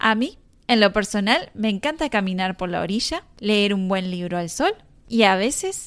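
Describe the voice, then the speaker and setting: The recording is very clean, with a silent background. A woman speaks at a medium pitch and a fairly slow pace with ordinary pitch variation. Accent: Rioplatense. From Argentina, Mar del Plata. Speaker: Spanish teacher, podcast host. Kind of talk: scripted language-lesson narration. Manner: clear, measured for learners.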